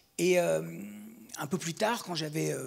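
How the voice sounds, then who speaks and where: A man with a fairly high pitch speaks with vocal fry and ordinary pitch variation. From Belgium. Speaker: film director. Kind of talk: interview. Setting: studio. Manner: halting; animated. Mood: reflective, animated storytelling. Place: stage. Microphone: handheld.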